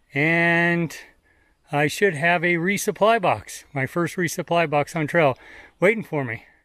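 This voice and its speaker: A bright, sharp tone comes through at a very slow pace with ordinary pitch variation, dry sound with no echo and a quiet background. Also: man. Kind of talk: casual vlog chat. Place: forest. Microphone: phone near.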